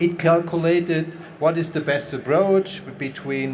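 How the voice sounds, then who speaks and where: A man with a non-native accent speaks amid noticeable background noise and audible room echo. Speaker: panel moderator, industry expert. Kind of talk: panel discussion.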